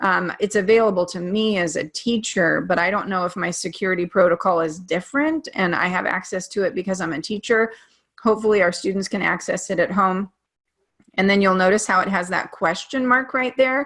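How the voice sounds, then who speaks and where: A woman's normal speaking voice, medium in pitch, fairly quick, with ordinary pitch variation. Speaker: teacher. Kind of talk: presentation.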